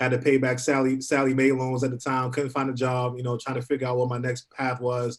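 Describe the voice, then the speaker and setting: A man with an American accent talks at a very fast pace and a medium pitch. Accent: New York accent, noticeable at times. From New York City (Harlem). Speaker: university program coordinator. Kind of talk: panel discussion. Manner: fast at times.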